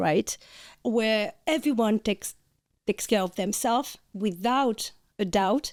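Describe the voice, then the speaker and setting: A woman with a French accent speaks at a fairly high pitch, using ordinary pitch variation. The recording is very clean, with a silent background and a dry, close sound with no echo. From France. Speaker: podcast co-host, functional nutritionist. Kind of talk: casual chat.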